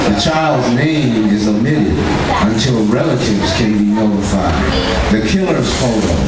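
A man speaks at a fairly slow pace. Audible room echo and loud background noise surround him. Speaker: poet. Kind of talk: poetry reading. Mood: grave, indignant. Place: stage.

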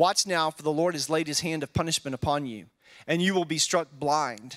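Against a quiet background, a man talks in a high pitch. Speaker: pastor or Bible teacher. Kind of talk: scripture reading and Bible study teaching. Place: church. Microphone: handheld.

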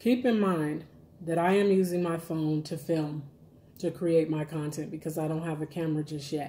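This woman has a very deep, low pitch, a somewhat breathy quality, a dark, mellow tone and fairly even intonation. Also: moderate pace. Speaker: food vlogger. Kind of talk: casual vlog chat while eating. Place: kitchen. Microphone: phone near.

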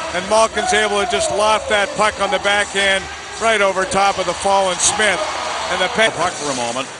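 A man speaks in a raised, projected voice with an animated tone and a high pitch. His pitch variation is ordinary, and background noise is noticeable. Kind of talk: live commentary, game analysis. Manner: animated, fast, excitable analyst banter.

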